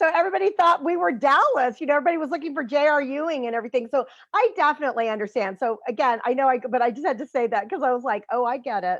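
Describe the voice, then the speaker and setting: A woman talks very fast with an American accent and hardly any pauses. Her pitch is high and her intonation lively. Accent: slight Texan, stronger when tired. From Central Texas, US (city). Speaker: podcast host, healing coach. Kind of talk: casual interview chat. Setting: online live show.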